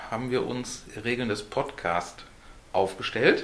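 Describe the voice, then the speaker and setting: Ordinary pitch variation in a Ruhr accent, with audible room echo. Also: man. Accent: Ruhr German, clearly audible. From Ruhr area, Germany (Essen). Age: 40s. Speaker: podcast host. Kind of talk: casual chat.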